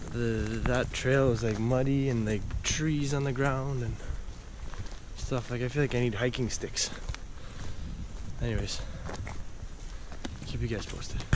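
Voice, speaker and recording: A man at a fairly slow pace with fairly even intonation, in a dry sound with no echo, over noticeable background noise. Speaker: hiking vlogger. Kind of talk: casual vlog chat. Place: forest. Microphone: phone near.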